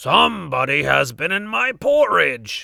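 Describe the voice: A man's gruff, put-on character voice at a fairly slow pace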